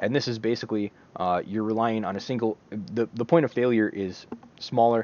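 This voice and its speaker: This man talks at a fairly quick pace. His pitch is medium, with ordinary pitch variation. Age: 30s. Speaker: book review video host. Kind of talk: solo video monologue, book review. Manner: casual with many fillers and hesitations.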